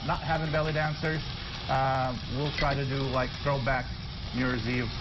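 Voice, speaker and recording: A man at a fairly quick pace over noticeable background noise. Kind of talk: interview answer. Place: studio. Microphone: lapel.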